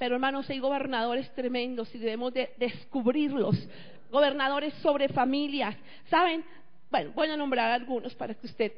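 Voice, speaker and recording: Over audible room echo, a woman speaks in a high pitch at a moderate pace, with ordinary pitch variation. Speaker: pastor. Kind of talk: sermon.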